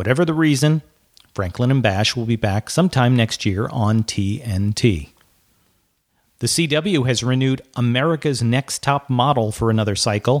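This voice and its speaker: In a normal speaking voice, a man talks at a moderate pace and medium pitch with ordinary pitch variation, in a dry, close recording with no echo. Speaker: podcast host. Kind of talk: news reading. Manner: crisp, brisk, professional broadcaster delivery; even and matter-of-fact, with light wry humor in the intro.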